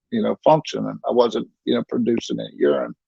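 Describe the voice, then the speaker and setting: A man talks at a fairly quick pace in a Southern US accent. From North Carolina (Statesville). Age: 60s. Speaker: kidney patient. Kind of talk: interview testimony. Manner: halting.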